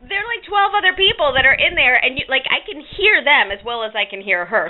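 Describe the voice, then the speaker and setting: Animated in tone, a woman talks at a fairly quick pace in a high pitch with very wide pitch swings over noticeable background noise. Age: 40s. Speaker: vlogger. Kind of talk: casual chat.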